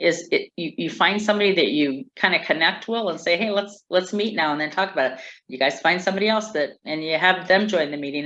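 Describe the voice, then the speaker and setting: A woman's ordinary speaking voice, fairly low in pitch, at a moderate pace with ordinary pitch variation. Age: 60s. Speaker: community organizer. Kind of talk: interview.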